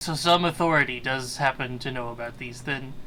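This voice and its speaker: A man puts on a character voice at a medium pitch. He moves at a fairly quick pace. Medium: actual play. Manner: condescending, impatient.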